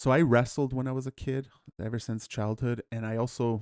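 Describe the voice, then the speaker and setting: Against a quiet background, a man with an unremarkable speaking voice and a Canadian accent talks at a fairly quick pace, his medium pitch held in fairly even intonation. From Edmonton, Alberta, Canada. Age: 40s. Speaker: martial arts instructor. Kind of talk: memorial talk. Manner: casual, with many fillers.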